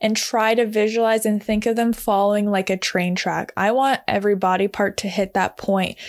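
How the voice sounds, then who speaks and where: The very clean recording, with a silent background, carries an unremarkable speaking voice. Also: woman. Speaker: podcast host and barrel racing instructor. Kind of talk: solo podcast tutorial.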